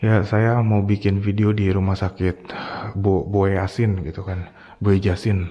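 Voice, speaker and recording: At a fairly slow pace, a man talks in a fairly low pitch with monotone, flat intonation. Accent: Jakarta. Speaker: ghost-hunting vlogger. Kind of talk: casual storytelling vlog. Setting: outdoors at night, abandoned hospital. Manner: casual slangy.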